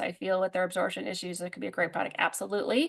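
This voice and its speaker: A woman speaks against a quiet background. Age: 40s. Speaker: herbalist and product presenter. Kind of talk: product presentation with live Q&A. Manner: fast; animated.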